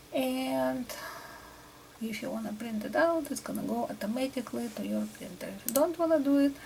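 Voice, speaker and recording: Soft-spoken, fairly quick talk with a Russian accent against noticeable background noise. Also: woman. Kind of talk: ASMR tutorial.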